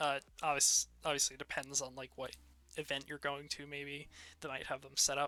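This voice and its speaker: A soft-spoken man talks at a fairly quick pace and fairly high pitch, his tone bright and sharp with vocal fry. His intonation is monotone and flat, though his loudness swings widely. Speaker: shader creator. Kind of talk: tutorial. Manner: hesitant, many fillers.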